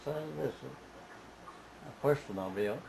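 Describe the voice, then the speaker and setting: Noticeable background noise sits under a man talking in a strong Southern US accent. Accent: thick Southern US. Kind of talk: family oral history interview answer.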